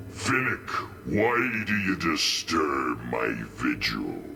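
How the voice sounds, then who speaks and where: Against clear background noise, a man uses a put-on character voice with a very deep, low pitch at a very slow pace. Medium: game stream. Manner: solemn.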